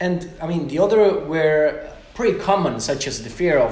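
With an Italian accent, a man speaks at a fairly slow pace with lively intonation over noticeable background noise. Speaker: podcast host. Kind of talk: interview conversation. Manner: halting.

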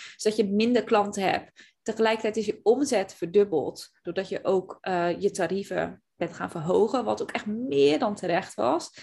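A woman's medium-pitched voice with vocal fry at a moderate pace. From Zeeland, Netherlands. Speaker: podcast host and business coach. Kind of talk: casual chat.

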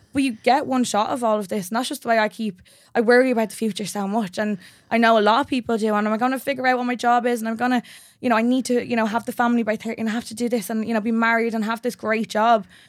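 Very fast, monotone, flat speech on a very clean recording with a silent background. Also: woman, fairly high pitch for a woman. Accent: Dublin. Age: 20s. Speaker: personal trainer. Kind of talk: casual interview chat. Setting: studio.

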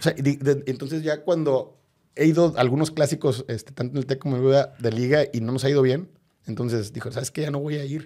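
A man's dark, mellow voice, fairly high in pitch, at a fairly quick pace. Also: fairly even intonation. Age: 40s. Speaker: football fan and political scientist. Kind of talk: interview. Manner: halting, many repetitions.

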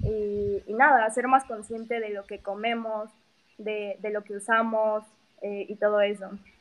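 In a Mexico City accent, a woman with a fairly high pitch speaks at a fairly slow pace in a monotone, flat intonation with big swings in loudness. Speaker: vegan activist. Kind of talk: interview.

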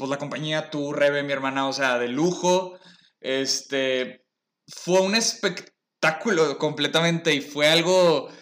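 The man's tone is bright and sharp, with ordinary variation in pitch. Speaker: podcast host. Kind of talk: casual chat.

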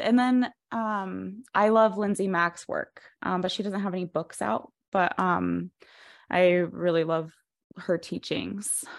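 The recording is very clean, with a silent background. A woman with an American accent speaks very slowly at a medium pitch with ordinary pitch variation. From Colorado. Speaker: podcast host, astrologer. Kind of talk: interview.

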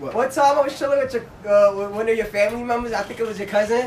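Amid noticeable background noise, a man with an American accent speaks at a very fast pace in an animated tone and an extremely high pitch. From Brownsville, Brooklyn, New York. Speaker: podcast co-host. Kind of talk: casual chat. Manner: animated, crude humor.

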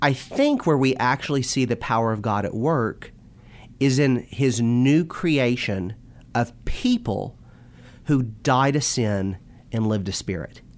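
A man talks in a normal speaking voice, his medium pitch moving with ordinary variation. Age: 20s. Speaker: minister and youth teacher. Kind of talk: religious discussion.

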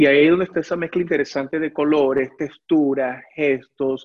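With a Venezuelan accent, a man speaks at a moderate pace, his fairly high pitch varying an ordinary amount. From Venezuela (Caracas). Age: 40s. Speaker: ceramic artist. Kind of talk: interview. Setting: video call from his workshop.

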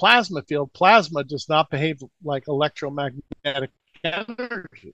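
Here is a plain, everyday voice from a man with a fairly high pitch and lively intonation. The background is quiet, and the sound is dry and close with no echo. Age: 60s. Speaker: alternative energy researcher. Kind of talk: interview.

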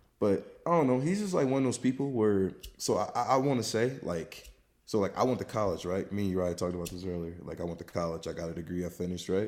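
A man with an American accent, fairly low pitch, lively intonation and a very fast pace. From US South. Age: 20s. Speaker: friend of the host, former athlete. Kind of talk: casual chat. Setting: remote recording at home. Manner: animated.

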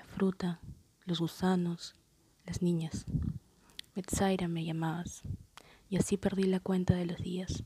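A woman's dark, mellow, somewhat breathy voice in monotone, flat intonation, with long, frequent pauses and big swings in loudness. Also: fairly slow pace. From Peru, Lima. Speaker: poet. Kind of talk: poetry reading.

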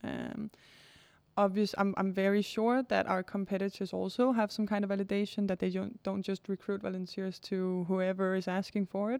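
A woman's medium-pitched, monotone, flat delivery at a moderate pace, on a very clean recording with a silent background. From Denmark. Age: 20s. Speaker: startup founder. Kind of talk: interview. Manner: halting.

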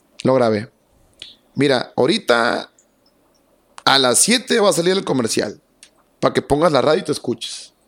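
A man with a fairly high pitch talks at a moderate pace with very wide pitch swings and very even loudness, pausing long and often. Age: 30s. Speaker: radio announcer. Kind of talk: casual chat.

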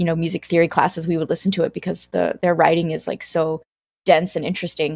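Recorded very cleanly against a silent background with a dry, close sound and no echo, a woman with an unremarkable speaking voice and an American accent talks at a fairly low pitch with fairly even intonation. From US South, South Carolina. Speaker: cellist and music director. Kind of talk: interview.

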